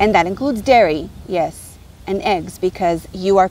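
Over light background noise, a woman speaks at a moderate pace in a dry sound with no echo. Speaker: spiritual teacher. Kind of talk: casual vlog chat. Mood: passionate, preachy, angry. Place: beach. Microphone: phone near.

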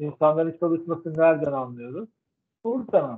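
Here a man talks at a high pitch. The background is quiet. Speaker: professor. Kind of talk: lecture. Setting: video call. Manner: halting. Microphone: video call.

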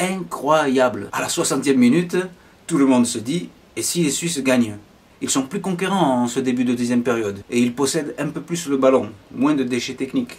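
Ordinary pitch variation from a man, moderate in pace. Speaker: football commentator vlogger. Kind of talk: sports commentary. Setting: voiceover on match footage. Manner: excitable, animated play-by-play with chatty asides; casual, opinionated fan-style banter. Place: home room.

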